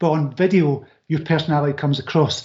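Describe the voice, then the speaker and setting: At a very fast pace, a man talks in a Scottish accent. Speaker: author and business coach. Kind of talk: interview. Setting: live online video show.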